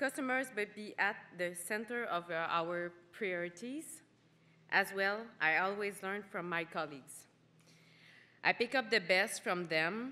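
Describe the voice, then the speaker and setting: A woman with a Quebec accent speaks fairly slowly at medium pitch, with long, frequent pauses and ordinary pitch variation. Her tone is bright and sharp, on a very clean recording with a silent background. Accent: Québécois French. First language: French. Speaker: award winner, cosmetics manager. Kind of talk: acceptance speech.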